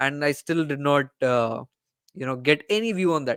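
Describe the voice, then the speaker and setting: Recorded very cleanly with a silent background and a dry, close sound with no echo, a man with an Indian accent speaks at a moderate pace, his fairly high pitch showing ordinary variation. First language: Hindi. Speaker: cricket YouTuber. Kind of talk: casual chat. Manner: halting, searching for words. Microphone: good dedicated mic.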